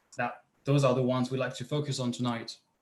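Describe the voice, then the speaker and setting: With a French accent, a man speaks in a somewhat breathy voice at medium pitch, his intonation fairly even. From France. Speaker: PhD researcher, presenter. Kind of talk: online panel talk. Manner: halting, many fillers.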